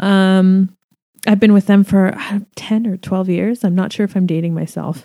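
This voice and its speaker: A woman's dark, mellow voice at medium pitch, with a Canadian accent, moderate pace, monotone flat intonation, and dry, close sound with no echo. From Canada. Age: 30s. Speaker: hair extension artist and educator. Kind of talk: casual solo podcast monologue. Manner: hesitant, many fillers.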